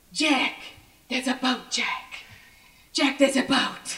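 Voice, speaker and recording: A female-sounding, put-on character voice, raspy and high in pitch, moves at a fairly slow pace. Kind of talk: refined. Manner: excited, shouting.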